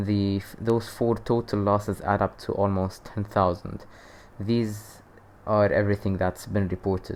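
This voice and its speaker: The delivery is a flat monotone at a moderate pace. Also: man. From Lebanon. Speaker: youtuber. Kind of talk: casual commentary. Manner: hesitant, many fillers.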